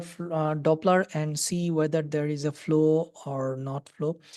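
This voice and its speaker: With a Bangladeshi accent, a woman speaks at a fairly low pitch in a dark, mellow tone and a fairly even intonation. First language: Bengali. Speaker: doctor teaching ultrasound. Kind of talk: lecture. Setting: webinar. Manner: halting.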